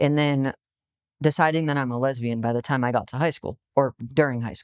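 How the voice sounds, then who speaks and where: With an American accent, a woman with a very deep, low pitch speaks at a fairly quick pace with fairly even intonation, on a very clean recording with a silent background and a dry, close sound with no echo. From Massachusetts, US. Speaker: conference speaker, detransitioner. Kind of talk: testimony.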